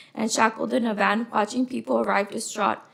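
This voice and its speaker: Soft-spoken, a woman with a fairly high pitch talks with vocal fry. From Los Angeles, California. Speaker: witness at a hearing. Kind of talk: testimony.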